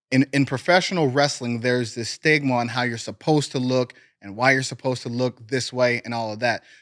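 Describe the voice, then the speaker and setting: A man with an American accent speaks in a plain, everyday voice at medium pitch and a fairly quick pace. The recording is very clean, with a silent background and a dry, close sound with no echo. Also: fairly even intonation. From US Midwest, Cleveland, Ohio. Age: 30s. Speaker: professional wrestler. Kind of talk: casual interview chat.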